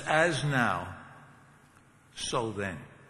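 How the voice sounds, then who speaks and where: Very wide pitch swings in a fairly high male voice, with noticeable background noise behind it. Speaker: seminary professor giving a commencement address. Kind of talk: commencement speech, preaching. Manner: conversational, humorous, with filler words.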